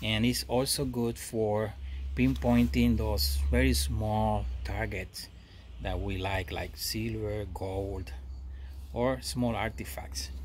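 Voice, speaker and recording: Over light background noise, a man with a very deep, low pitch speaks at a very slow pace, somewhat breathy, with lively intonation. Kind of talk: casual product review vlog. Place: garden. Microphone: phone near.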